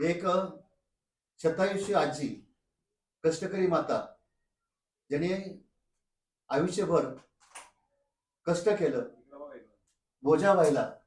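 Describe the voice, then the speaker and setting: A man speaks in a plain, everyday voice. His pitch varies in an ordinary way. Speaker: vlogger. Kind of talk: vlog narration and interview questions.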